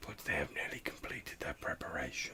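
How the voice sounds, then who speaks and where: A man whispers in a put-on character voice. His delivery is hissing. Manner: eerie, matter-of-fact.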